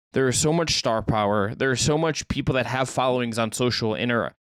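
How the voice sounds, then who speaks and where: He speaks at a moderate pace, and his pitch varies in an ordinary way. This man has a plain, everyday voice at a medium pitch. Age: young. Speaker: basketball podcast co-host. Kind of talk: casual chat.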